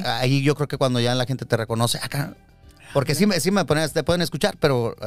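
Fairly quick speech with ordinary pitch variation sounds dry and echo-free, with faint music in the background. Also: man. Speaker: radio announcer and TV presenter; radio announcer, TV presenter. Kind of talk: interview answer, casual talk. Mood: relaxed, reminiscing. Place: studio. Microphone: studio mic.

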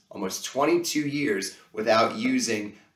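Over a quiet background with audible room echo, a man speaks at a fairly slow pace. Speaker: children's show host. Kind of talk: kids' educational presenting. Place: home room.

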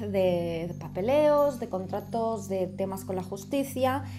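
Music plays in the background as a woman talks at a very slow pace. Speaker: tarot reader. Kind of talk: tarot reading commentary. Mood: calm, explanatory. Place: home room. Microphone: camera far.

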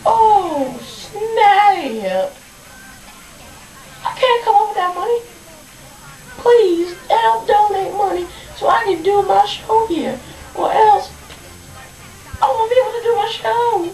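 A cartoonish character voice at a fairly slow pace, with long, frequent pauses and clear background noise. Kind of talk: puppet show comedy skit. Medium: puppet show. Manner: chirpy, then dismayed and pleading.

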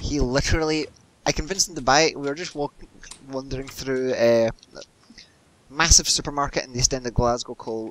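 A man talks at a fairly quick pace with a fairly high pitch, leaving long, frequent pauses. Noticeable background noise runs underneath. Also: big swings in loudness. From Scotland. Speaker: gamer. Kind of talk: casual chat while gaming. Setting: voice chat while playing a game. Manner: animated, laughs often.

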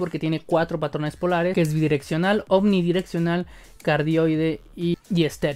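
Speaking at a moderate pace, a man uses a high-pitched voice. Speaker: tech reviewer. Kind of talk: product review. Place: home room. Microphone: studio mic.

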